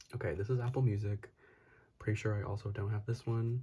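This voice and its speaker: Soft-spoken and somewhat breathy, a man with an American accent talks at a moderate pace in a medium-pitched, dark, mellow voice with fairly even intonation. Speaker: YouTuber and photocard collector. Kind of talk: casual haul vlog. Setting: at home late at night. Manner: soft-spoken, talking quietly.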